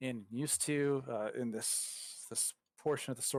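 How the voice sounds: Quiet background behind a natural reading voice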